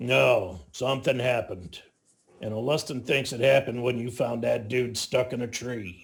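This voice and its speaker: A raspy, put-on character voice at a moderate pace with ordinary pitch variation. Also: man, medium pitch for a man. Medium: actual play. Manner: blunt, casual.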